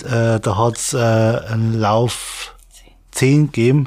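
A man is talking. His pace is very slow. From Bavaria, Regensburg area. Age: 30s. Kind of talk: interview. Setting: studio. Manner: halting.

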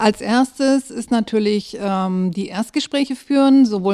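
A woman's dark, mellow tone at a fairly slow pace. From southern Germany, Böblingen (Swabia). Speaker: family-support project coordinator. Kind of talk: casual interview.

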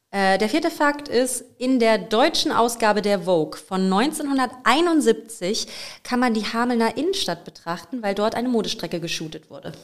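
An unremarkable speaking voice moves at a moderate pace with lively intonation, on a very clean recording with a silent background. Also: woman, fairly high pitch for a woman. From Lower Saxony, Germany (Bad Münder near Hameln). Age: 20s. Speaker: podcast co-host and part-time singer. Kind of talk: casual chat.

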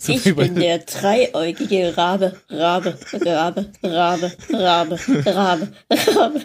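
Using a put-on robotic character voice, a woman speaks fairly slowly at a medium pitch. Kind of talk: comic. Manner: repetitive glitching.

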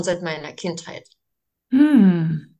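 This is a woman speaking. Her pitch is medium. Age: 40s. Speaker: daycare group leader. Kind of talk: interview. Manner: halting, many fillers.

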